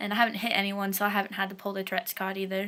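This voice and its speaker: A woman talks at a very fast pace. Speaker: vlogger. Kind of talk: personal vlog about medication experience. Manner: hesitant, many fillers.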